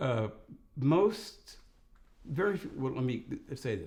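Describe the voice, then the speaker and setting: Somewhat breathy, a man with a fairly high pitch speaks with an American accent. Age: 70s. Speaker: retired lawyer. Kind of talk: interview. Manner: formal.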